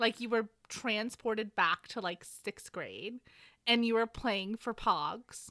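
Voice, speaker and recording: Bright and sharp in tone, the voice carries an American accent at a very slow pace with fairly even intonation, recorded very cleanly over a silent background with a dry, close sound and no echo. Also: woman, fairly high pitch for a woman. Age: 30s. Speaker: podcast co-host. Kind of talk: casual chat with book recap.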